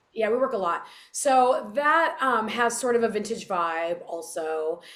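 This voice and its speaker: The speaker uses a Californian accent at a fairly slow pace. The pitch swings very widely. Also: woman. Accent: Californian American. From Southern California. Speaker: singer. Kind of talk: interview.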